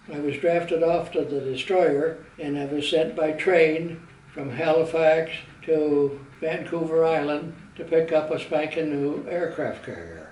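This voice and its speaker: Over noticeable background noise, a fairly high-pitched man speaks at a fairly slow pace in a monotone, flat delivery. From Southwestern Ontario, Canada. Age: old. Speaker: Navy veteran. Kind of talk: personal life story, reminiscence.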